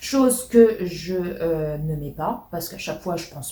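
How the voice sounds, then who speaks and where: A woman's somewhat breathy, dark and mellow voice at medium pitch, with ordinary pitch variation and audible room echo. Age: 30s. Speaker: YouTuber. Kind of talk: casual chat. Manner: hesitant, many fillers.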